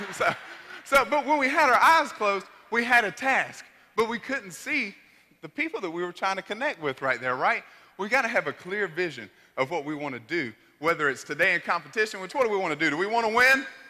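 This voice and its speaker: Raised and projected, a man's high-pitched voice swings very widely in pitch at a fairly quick pace. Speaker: motivational speaker. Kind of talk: motivational speech. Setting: stage with audience. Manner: animated; loud.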